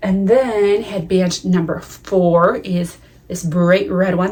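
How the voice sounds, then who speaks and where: Here is a woman with an American accent at a medium pitch. She has a plain, everyday voice with ordinary pitch variation. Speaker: knitting podcaster. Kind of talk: casual chat.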